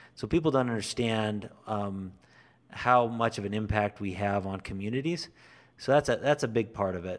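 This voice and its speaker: Recorded very cleanly with a silent background, a man with an American accent speaks in an unremarkable speaking voice at a fairly low pitch, with ordinary pitch variation and a moderate pace. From southern Idaho. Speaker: co-founder of an industry advocacy group. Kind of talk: interview.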